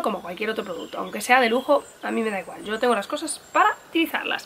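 This woman speaks with a fairly high pitch and a fairly bright tone.

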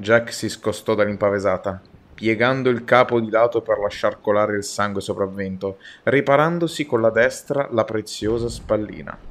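A man with an unremarkable speaking voice, a medium pitch and a moderate pace. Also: ordinary pitch variation. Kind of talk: audiobook-style reading aloud of a naval adventure novel. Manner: brisk, urgent narration with mounting tension during the battle.

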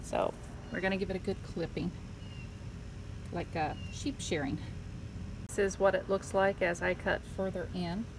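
A woman speaks with long, frequent pauses over noticeable background noise. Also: moderate pace. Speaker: home gardener. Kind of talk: casual gardening talk to camera. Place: garden. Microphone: phone near.

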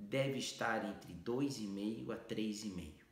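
Audible room echo surrounds a man's voice as he talks. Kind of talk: health explainer to camera.

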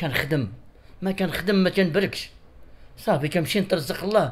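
This man's pitch sits high, with ordinary variation. He talks at a fairly quick pace. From Morocco, Casablanca old medina; Morocco. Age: 50s. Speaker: interviewee. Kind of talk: interview testimony, appeal for help. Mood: pleading, telling of hardship. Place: home room. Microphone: handheld.

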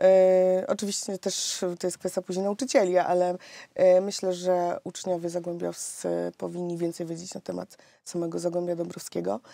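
A woman's dark, mellow tone at a fairly low pitch, with fairly even intonation and a dry sound with no echo. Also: quiet background. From Silesia, Poland (Rybnik); Silesia, Poland. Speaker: politician, mayoral candidate; candidate. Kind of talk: radio interview. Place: studio.

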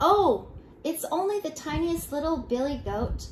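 A woman uses a put-on character voice with a high pitch, speaking at a moderate pace. Background noise is clearly audible. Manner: timid, small.

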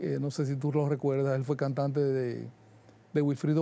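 With a Dominican Cibao accent, a man speaks at a moderate pace in a fairly high pitch and a dark, mellow tone, the sound dry with no echo. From Dominican Republic, Santiago de los Caballeros; Dominican Republic. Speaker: jazz musician and music producer; guest. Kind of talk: interview. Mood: relaxed, friendly. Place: studio. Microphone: lapel.

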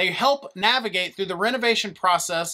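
Over a quiet background, a man with a raised, projected voice and a bright, sharp tone speaks at a moderate pace with ordinary pitch variation. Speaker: presenter. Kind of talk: tutorial. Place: studio.

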